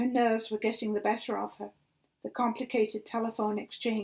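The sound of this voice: The speaker has an unforced reading voice, and the background is quiet.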